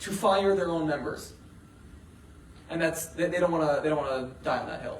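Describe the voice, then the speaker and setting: A man's high-pitched voice with ordinary pitch variation, amid audible room echo and noticeable background noise. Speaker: graduate student activist speaking on antisemitism. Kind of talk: talk at a meeting with audience questions. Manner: many fillers (uh, um).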